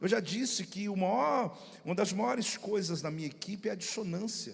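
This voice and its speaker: An animated man with a high voice. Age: middle-aged. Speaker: pastor. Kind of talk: sermon. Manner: fast.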